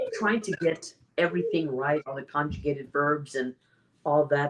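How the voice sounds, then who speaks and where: A woman with an American accent speaks in a very deep, low pitch. Her intonation is lively. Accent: American English, careful diction. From US, Mexican-American family. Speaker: public speaking champion. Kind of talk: interview conversation. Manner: clear careful enunciation.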